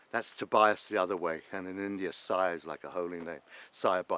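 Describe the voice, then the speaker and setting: In a London accent, a man talks at a fairly quick pace, the sound dry and close with no echo. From London, England. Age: 60s. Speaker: former traveller and cab business founder. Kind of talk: documentary interview.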